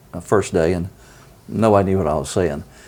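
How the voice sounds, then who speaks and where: A man with an American accent and a fairly low pitch, with noticeable background noise. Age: 70s. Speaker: mayor. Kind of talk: interview storytelling.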